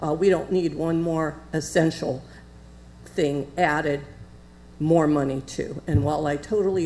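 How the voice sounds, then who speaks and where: A woman speaks in a very deep, low pitch with vocal fry. Her tone is dark and mellow, and her intonation fairly even. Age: 70s. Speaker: public commenter. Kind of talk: public comment. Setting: city commission meeting. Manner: halting.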